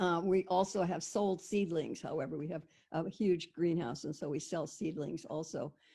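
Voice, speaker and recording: Against a quiet background, the voice moves at a moderate pace with a dark, mellow tone. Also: woman, fairly low pitch for a woman, ordinary pitch variation. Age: 70s. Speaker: intentional community founder. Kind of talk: presentation on video call. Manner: halting, with many fillers and restarts.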